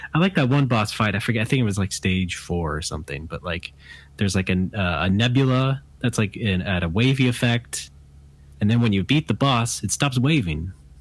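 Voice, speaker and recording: A man with a plain, everyday voice, fairly low in pitch, lively in intonation and fairly quick, in a very clean recording over a silent background. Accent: General American. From US West Coast. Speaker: game developer. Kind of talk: casual chat.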